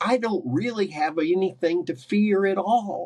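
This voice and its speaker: A man with an American accent. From US, West Virginia. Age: 60s. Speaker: carnivore diet coach. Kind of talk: podcast interview. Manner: animated.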